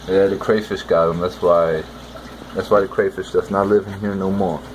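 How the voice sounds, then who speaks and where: This man mumbles in a relaxed tone with monotone, flat intonation. Noticeable background noise runs underneath. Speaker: aquarium hobbyist vlogger. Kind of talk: casual video commentary. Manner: mumbling; relaxed, rambling.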